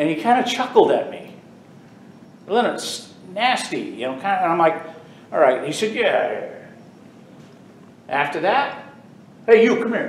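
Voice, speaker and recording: Speaking in an American accent, a man keeps a moderate pace with long, frequent pauses and big swings in loudness. Audible room echo and noticeable background noise fill the recording. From US South (Texas and Florida). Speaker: bagpiper and retired prison officer. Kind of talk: informal talk to a club audience. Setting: stage with audience.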